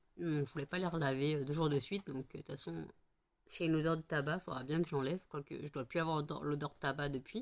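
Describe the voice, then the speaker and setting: A woman with a very deep, low pitch, very fast pace and fairly even intonation. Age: 30s. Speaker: vlogger. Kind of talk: casual vlog chat.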